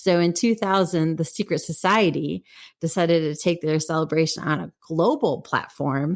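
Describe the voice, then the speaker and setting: A woman speaks with an American accent and vocal fry. Her pitch varies in an ordinary way, at a moderate pace. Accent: Wisconsin accent, slips out occasionally. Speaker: podcast co-host. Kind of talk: casual chat. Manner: halting, self-correcting with fillers.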